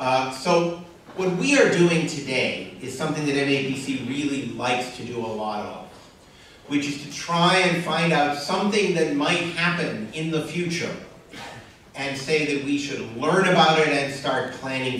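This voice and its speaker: At a moderate pace, a man with fairly high pitch and ordinary pitch variation speaks amid strong room echo and light background noise. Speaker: panel moderator, regional planning director. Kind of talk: panel moderation and introductions. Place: hall. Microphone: camera far.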